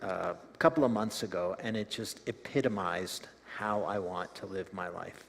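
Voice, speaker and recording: An American accent in a man's voice of medium pitch. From United States, Ukrainian immigrant family. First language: Ukrainian. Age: 60s. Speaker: community development worker. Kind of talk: testimony.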